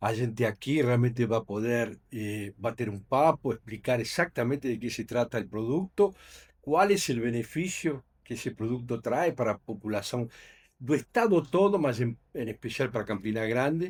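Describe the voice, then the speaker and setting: A man with a Uruguayan accent speaks at a moderate pace and medium pitch, his intonation lively. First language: Spanish (speaking Portuguese). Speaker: company executive. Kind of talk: podcast interview. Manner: halting, many fillers.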